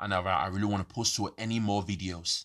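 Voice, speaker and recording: Speaking with a London accent, a man has a fairly low pitch and a bright, sharp tone. He goes at a moderate pace over a quiet background. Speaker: podcaster. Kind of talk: rambling monologue. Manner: halting, many fillers.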